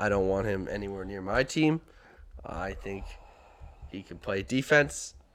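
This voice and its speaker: A man at a moderate pace, with lively intonation, big swings in loudness, and long, frequent pauses. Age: 20s. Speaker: podcast co-host. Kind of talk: casual chat. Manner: high-energy.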